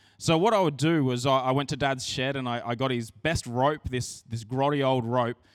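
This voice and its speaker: This man has an Australian accent and a fairly high pitch. He speaks at a moderate pace with ordinary pitch variation. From Australia, rural New South Wales. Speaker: pastor. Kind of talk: sermon. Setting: church. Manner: casual, conversational.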